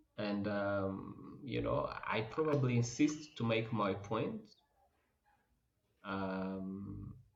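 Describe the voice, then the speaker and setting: A man speaks at a very slow pace with long, frequent pauses and ordinary pitch variation, with audible room echo. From Rwanda. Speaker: oncologist. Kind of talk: interview. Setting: podcast. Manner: loud.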